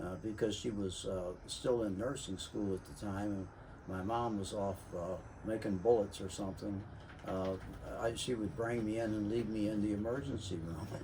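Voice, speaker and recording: A man with an American accent speaks at a fairly low pitch, somewhat breathy, with ordinary pitch variation. Room echo is audible. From US Midwest, St. Louis. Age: 80s+. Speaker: navy veteran and city worker sharing experiences. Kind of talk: casual monologue, personal storytelling. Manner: halting, many fillers.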